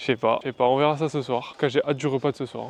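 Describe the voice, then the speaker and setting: A man's voice, fairly high in pitch. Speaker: vlogger, cook. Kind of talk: casual vlog. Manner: casual, hesitant with fillers.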